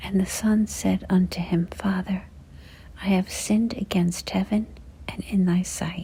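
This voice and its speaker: Soft-spoken whispering at a fairly slow pace. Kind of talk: scripture reading, ASMR. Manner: whispered, soft-spoken.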